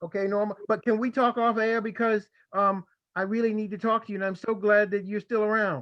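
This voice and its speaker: A man with a Baltimore accent speaks at a high pitch. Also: fairly quick pace. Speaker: historian presenter. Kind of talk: Q&A after a lecture. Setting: video call. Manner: animated.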